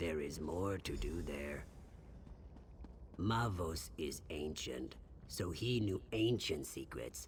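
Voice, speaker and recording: In a put-on character voice, a man uses a very deep, low pitch at a very slow pace. Long, frequent pauses break it up over clear background noise. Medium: video game. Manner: nervous, hesitant.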